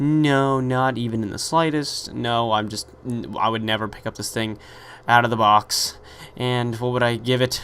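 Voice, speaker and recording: The speaker is a man with a medium pitch. He keeps a moderate pace. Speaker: gaming commentator. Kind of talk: gameplay commentary. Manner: animated.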